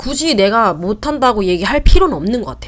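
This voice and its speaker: A woman's fairly quick speech with vocal fry and very wide pitch swings. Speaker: vlogger. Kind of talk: casual talk to camera. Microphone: new mic, set up wrong at start.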